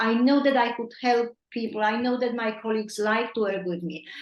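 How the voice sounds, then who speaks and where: A woman speaks with a non-native accent. Her pitch is fairly high, with ordinary variation. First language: not English. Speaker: nutrition coach. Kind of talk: coaching call. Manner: halting.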